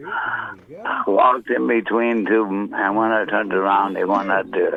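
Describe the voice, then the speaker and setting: A man talks at a moderate pace in a Newfoundland accent. There is noticeable background noise. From Newfoundland, Canada (St. John's). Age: 70s. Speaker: caller. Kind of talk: storytelling. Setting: phone call.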